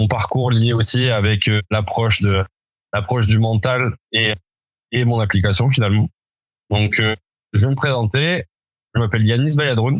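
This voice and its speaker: Recorded dry and close with no echo against a silent, very clean background, the voice moves at a fairly slow pace with long, frequent pauses, very even loudness and ordinary pitch variation. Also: man, medium pitch for a man. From France, Toulouse. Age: 30s. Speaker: entrepreneur, former rugby player. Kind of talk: podcast interview.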